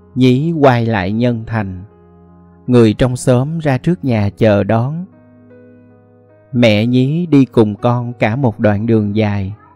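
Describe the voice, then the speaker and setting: Over music in the background, a man speaks at a very slow pace, with long, frequent pauses. His pitch is medium, with ordinary variation. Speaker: audiobook narrator. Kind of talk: short story reading.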